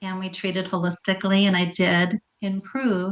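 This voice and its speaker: A woman at medium pitch speaks at a moderate pace with monotone, flat intonation. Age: 60s. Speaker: health coach. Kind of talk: interview.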